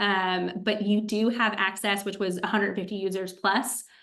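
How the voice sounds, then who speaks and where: In a room with audible echo, a woman talks at a moderate pace and medium pitch with monotone, flat intonation. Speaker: agency consultant and AI tools presenter. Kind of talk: webinar presentation. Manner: many filler ums.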